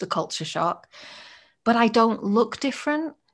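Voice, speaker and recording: This woman has a British accent and a warm tone. Her pitch varies in an ordinary way over a quiet background. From Britain. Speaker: podcast host. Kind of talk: interview conversation. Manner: warm, engaged.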